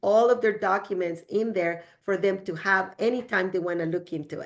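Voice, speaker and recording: With a strong Spanish accent, a woman talks at a moderate pace and a medium pitch. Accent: heavy Spanish. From El Salvador. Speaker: real estate agent. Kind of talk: podcast interview. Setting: studio.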